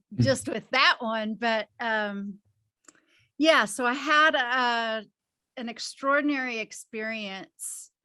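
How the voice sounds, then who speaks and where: A very cleanly recorded woman's voice against a silent background, fairly high in pitch with ordinary pitch variation and a bright, sharp tone. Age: 60s. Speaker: hypnosis healing practitioner. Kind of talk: interview.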